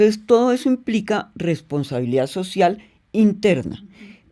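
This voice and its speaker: This woman's voice has a dark, mellow tone. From Colombia. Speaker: business executive, company president. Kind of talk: interview answer.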